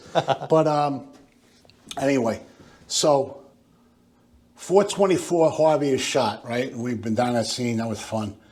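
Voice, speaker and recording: A medium-pitched man with an American accent, lively intonation, a very slow pace, and long, frequent pauses. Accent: working-class Yonkers, drops R's. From Yonkers, New York. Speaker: retired police detective. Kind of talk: casual chat. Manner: animated.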